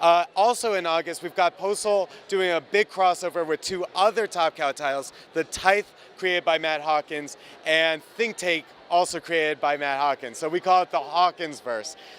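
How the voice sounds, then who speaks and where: A man with an American accent speaks at a moderate pace in a high voice, the sound dry and close with no echo. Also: ordinary pitch variation. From New Jersey. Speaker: comic book artist. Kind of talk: interview. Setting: comic convention.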